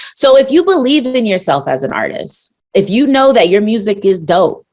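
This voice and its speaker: Lively intonation marks a woman's moderately paced talk in an ordinary speaking voice. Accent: American. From Brooklyn, New York. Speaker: rapper and NFT artist. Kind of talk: podcast interview.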